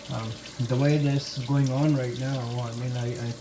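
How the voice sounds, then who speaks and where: A woman talks at a very deep, low pitch in a monotone, flat intonation. Background noise is noticeable. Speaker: scale model hobbyist. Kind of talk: tutorial. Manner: slow; halting.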